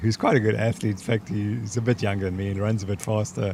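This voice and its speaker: Somewhat breathy, a man speaks at a medium pitch. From South Africa. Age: 70s. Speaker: sports scientist. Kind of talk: interview.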